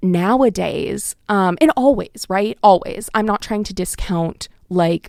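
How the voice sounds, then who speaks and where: Dry and close with no echo, a dark, mellow voice with an American accent speaks at a fairly slow pace with lively intonation. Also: woman. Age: 20s. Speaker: college radio host and graduate student. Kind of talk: casual radio monologue. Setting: radio studio. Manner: filler-heavy, self-correcting.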